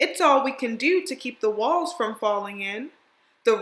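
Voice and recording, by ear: Lively intonation in a passage read aloud in a natural voice.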